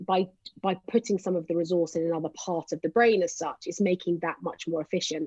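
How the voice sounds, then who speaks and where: The sound is dry and close with no echo. A woman speaks in a plain, everyday voice at medium pitch with fairly even intonation. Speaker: psychologist. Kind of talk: casual chat.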